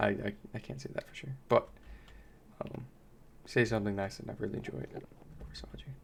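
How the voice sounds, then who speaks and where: Fairly quick speech with vocal fry. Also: man. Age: young. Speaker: gaming youtuber. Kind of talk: gameplay commentary. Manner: mellow; soft-spoken.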